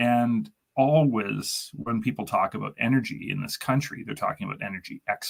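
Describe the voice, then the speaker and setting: Speaking with a Canadian accent and vocal fry, a man uses a medium pitch with very wide pitch swings. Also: moderate pace. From Canada. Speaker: chemical engineer. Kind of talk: casual chat.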